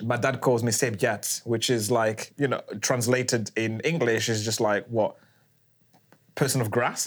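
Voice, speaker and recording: At a fairly slow pace, a man speaks at a medium pitch with fairly even intonation and very even loudness. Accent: British. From Rwanda, raised in UK from about age 4. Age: young. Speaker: podcast host. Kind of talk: casual chat.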